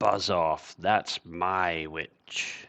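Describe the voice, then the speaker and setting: Growling and croaky, a man puts on a character voice with a very deep, low pitch. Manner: gruff, commanding.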